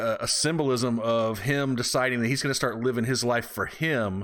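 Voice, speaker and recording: On a very clean recording with a silent background, a man speaks in a normal speaking voice. His pitch is medium, his pace fairly quick and his intonation fairly even. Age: 40s. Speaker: podcast co-host. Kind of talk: casual chat.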